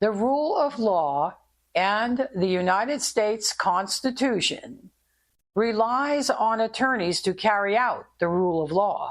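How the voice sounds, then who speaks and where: In a normal speaking voice, a woman talks at a fairly slow pace with a fairly high pitch, lively intonation and very even loudness. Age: 60s. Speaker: podcast host, former investigator. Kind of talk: podcast monologue. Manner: conversational.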